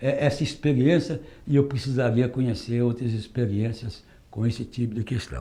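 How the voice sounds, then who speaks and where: Somewhat breathy and medium in pitch, a man speaks at a moderate pace. His intonation stays fairly even. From Northeast Brazil. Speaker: retired metalworker and union activist. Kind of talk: oral history testimony.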